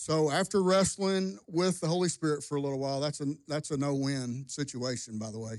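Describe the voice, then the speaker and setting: An ordinary speaking voice moves at a moderate pace with ordinary pitch variation against a quiet background. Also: man. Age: 50s. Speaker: pastor. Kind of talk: testimony. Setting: church.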